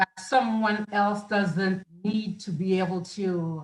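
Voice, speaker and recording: A woman in a Central American accent sounds somewhat breathy, with ordinary pitch variation. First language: Garifuna. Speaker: film festival producer and writer. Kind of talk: interview. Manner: halting.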